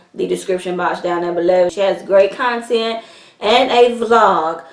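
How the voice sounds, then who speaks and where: Over noticeable background noise, a woman speaks at a medium pitch in an animated tone. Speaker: beauty vlogger. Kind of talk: makeup tutorial. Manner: chipper.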